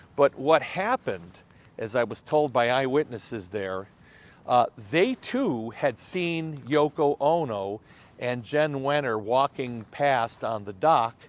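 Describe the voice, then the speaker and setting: A man speaks very slowly at a medium pitch, with lively intonation. The sound is dry and close, with no echo. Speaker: museum curator recounting history. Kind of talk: storytelling.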